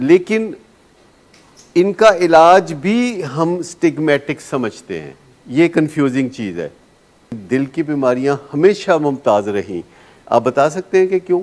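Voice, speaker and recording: A man with an ordinary speaking voice talks at a fairly high pitch with lively intonation. His loudness swings widely. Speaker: addiction treatment specialist. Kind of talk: lecture.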